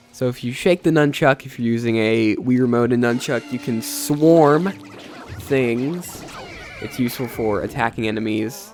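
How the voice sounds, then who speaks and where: A man in a medium pitch talks at a moderate pace, his pitch varying in an ordinary way as music plays in the background. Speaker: gaming youtuber. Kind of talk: let's play commentary. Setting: post-recorded voiceover.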